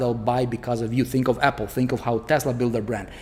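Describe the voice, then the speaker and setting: A man with a non-native accent talks at a very fast pace. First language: not English. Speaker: online marketing coach. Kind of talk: sales pitch. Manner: animated; casual, filler-heavy.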